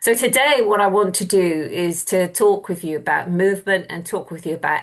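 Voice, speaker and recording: A woman at a medium pitch with an English accent, speaking at a moderate pace. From southwest England (Plymouth). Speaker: university lecturer. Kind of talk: lecture. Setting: video call.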